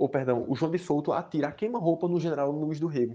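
A man's fairly high-pitched voice has a dark, mellow tone and ordinary pitch variation. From Caruaru, Pernambuco, Brazil. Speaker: history podcaster. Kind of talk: solo history narration. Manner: halting, many fillers.

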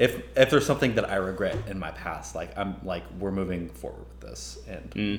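With a very deep, low pitch and very wide pitch swings, a man speaks at a moderate pace with vocal fry, and audible room echo surrounds him. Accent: American. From Texas. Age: 20s. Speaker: music podcast guest. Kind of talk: casual chat.

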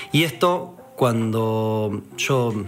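The speaker has a Rioplatense accent. Music plays in the background, and there is audible room echo. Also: man. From Argentina, Buenos Aires. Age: 30s. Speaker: politician. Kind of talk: political speech.

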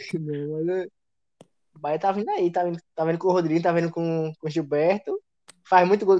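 A man's high-pitched voice at a fairly quick pace, with a dry, close sound and no echo. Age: 20s. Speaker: football fan commentator. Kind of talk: casual chat.

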